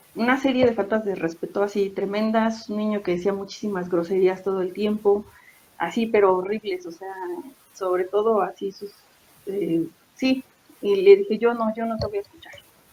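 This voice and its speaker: A woman with fairly even intonation speaks over noticeable background noise, her loudness swinging widely. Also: medium pitch for a woman, moderate pace. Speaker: secondary school teacher. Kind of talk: interview answer, casual talk about teaching experiences.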